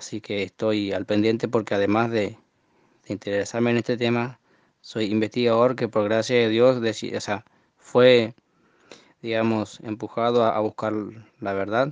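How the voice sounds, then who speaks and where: A man talks at a medium pitch in a flat, monotone way, at a fairly slow pace with long, frequent pauses. The sound is dry and close, with no echo. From Argentina, Formosa. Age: 20s. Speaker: listener sending audio message. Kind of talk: recorded monologue testimony. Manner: halting, many fillers and repetitions.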